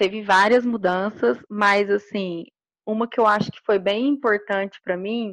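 A woman talks in an ordinary speaking voice with a fairly high pitch and ordinary pitch variation. The sound is dry and close with no echo, over a quiet background. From Minas Gerais, Brazil. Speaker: electrical engineer. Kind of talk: interview.

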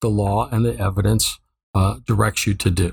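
Vocal fry marks a man's speech at a moderate pace in a very clean recording with a silent background. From Ohio. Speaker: judge. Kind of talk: interview.

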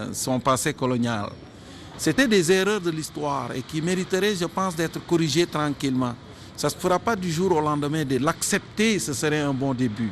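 With lively intonation and a fairly high pitch, a man speaks at a moderate pace over noticeable background noise. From Senegal. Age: 50s. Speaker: media creator and cultural figure. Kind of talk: interview.

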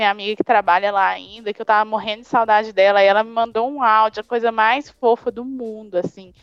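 A woman with a fairly high voice is recorded with a dry, close sound, no echo and a quiet background. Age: 20s. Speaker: graphic designer. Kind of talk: casual interview.

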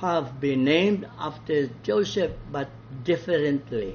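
The speaker talks very slowly in a Visayan Filipino accent, somewhat breathy. The intonation is lively. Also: man. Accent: Filipino (Cebuano) English. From Philippines, Cebu. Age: 80s+. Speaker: priest and Bible teacher. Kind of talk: Bible study talk.

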